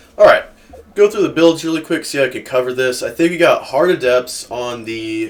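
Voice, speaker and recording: The voice has a relaxed tone over noticeable background noise. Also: man. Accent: American. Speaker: gaming YouTuber. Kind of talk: gameplay commentary. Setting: home room, cold. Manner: casual, relaxed.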